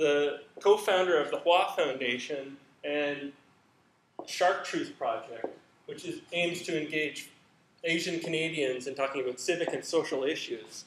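A man talks at a fairly slow pace with long, frequent pauses and ordinary pitch variation. Background noise is noticeable throughout. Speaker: candidate. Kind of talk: academic presentation. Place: hall.

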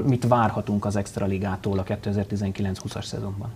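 This voice belongs to a man. He talks in a flat monotone. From Hungary. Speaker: sports TV show host. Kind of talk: studio interview and news narration. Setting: TV studio. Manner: formal. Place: studio. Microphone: lapel.

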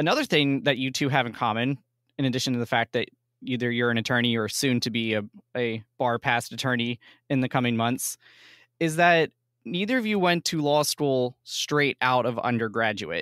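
Speaking at a moderate pace and medium pitch, a man with an unremarkable speaking voice uses ordinary pitch variation on a very clean recording with a silent background. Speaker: university podcast host, college staff member. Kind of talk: podcast interview; scripted intro.

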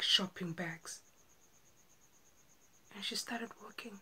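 A woman speaks with fairly even intonation. Her tone is bright and sharp. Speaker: actor. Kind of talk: dramatic monologue audition. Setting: home self-recording. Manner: slow, emotional. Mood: earnest, emotional storytelling. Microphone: phone near.

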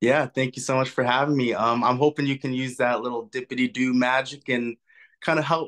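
A man with a Canadian accent at medium pitch, moderate pace, quiet background. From western Canada. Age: 20s. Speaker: caller. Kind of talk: call-in conversation. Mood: subdued, vulnerable. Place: home room. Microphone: video call.

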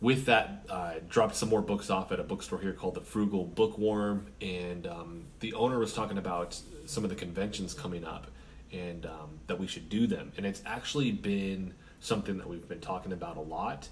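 A man speaks at a moderate pace with a fairly low pitch. Light background noise can be heard. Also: ordinary pitch variation. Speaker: independent comic author. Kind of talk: casual vlog chat. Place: home room. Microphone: camera far.

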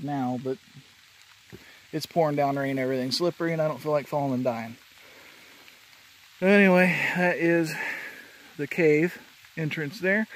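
A man speaks at a moderate pace with ordinary pitch variation, pausing long and often. The sound is dry, with no echo. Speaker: hiker vlogger. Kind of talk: casual vlog chat. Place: forest. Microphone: phone near.

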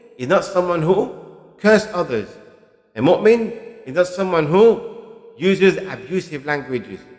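The pace is moderate. The background is quiet. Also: man. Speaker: religious teacher. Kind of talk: lecture. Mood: calm, earnest. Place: studio. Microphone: studio mic.

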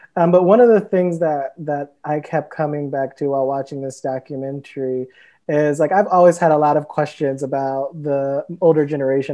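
With an American accent, a man talks at a moderate pace against a quiet background. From US Midwest, Cleveland, Ohio; Ohio. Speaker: writer and editor; panelist. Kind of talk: panel discussion. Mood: thoughtful, reflective. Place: home room. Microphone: earbuds.

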